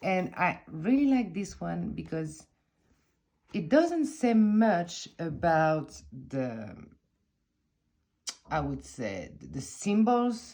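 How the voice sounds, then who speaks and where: At a very slow pace with long, frequent pauses, a woman talks in a French accent. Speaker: tarot content creator. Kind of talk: casual chat. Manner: halting.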